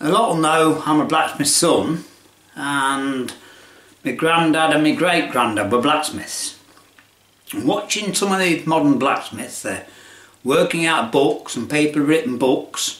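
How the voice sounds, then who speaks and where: Speaking with a Lincolnshire accent at a fairly slow pace, a man with a fairly high pitch leaves long, frequent pauses amid noticeable background noise and audible room echo. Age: 70s. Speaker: retired tradesman video maker. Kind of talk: casual chat. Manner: rambling conversational, halting.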